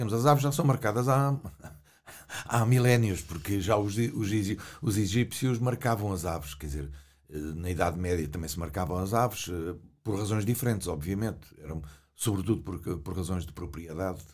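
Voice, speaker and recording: Amid audible room echo, a somewhat breathy voice speaks at a moderate pace with lively intonation and long, frequent pauses. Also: man, very deep, low pitch for a man. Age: 70s. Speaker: retired ornithologist. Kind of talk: interview. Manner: halting.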